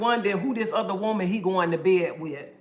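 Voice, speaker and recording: A woman speaks in an animated tone with ordinary pitch variation. Audible room echo surrounds her voice. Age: 50s. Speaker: live streamer. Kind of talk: casual livestream chat, reading comments.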